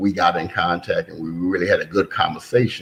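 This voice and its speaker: Over noticeable background noise, a man speaks in a very deep, low pitch with an American accent. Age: 60s. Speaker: son of a brewery founder. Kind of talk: podcast interview.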